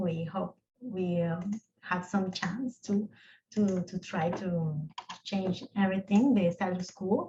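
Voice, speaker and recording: A woman with a non-native accent speaks at a fairly slow pace, her medium-pitched voice showing ordinary pitch variation. Her tone is dark and mellow, and somewhat breathy. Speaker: lawyer, rights of nature advocate. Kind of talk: panel discussion closing remarks. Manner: halting, repeats words.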